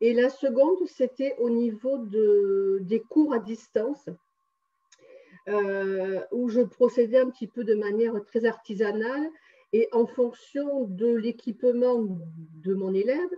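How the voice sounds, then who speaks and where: A woman speaks at a very slow pace in a fairly high voice, with ordinary pitch variation and long, frequent pauses. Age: 60s. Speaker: numerologist and energy healer. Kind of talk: testimony interview. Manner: hesitant, many fillers.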